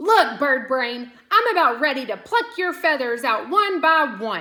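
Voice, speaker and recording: A woman puts on a character voice with a high pitch and very wide pitch swings at a fairly slow pace. Hissing runs through the recording. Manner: hissing through gritted teeth, threatening.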